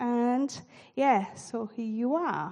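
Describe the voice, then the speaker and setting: A woman with a non-native accent talks at a very slow pace. Her voice is fairly high in pitch, with a dark, mellow tone. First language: not English. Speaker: church leader. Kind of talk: sermon. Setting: church.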